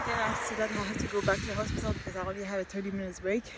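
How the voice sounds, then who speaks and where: The woman talks at a very fast pace. Noticeable background noise can be heard. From Quebec. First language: French. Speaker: vlogger. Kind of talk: casual vlog monologue. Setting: outdoors while jogging. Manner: halting, self-correcting.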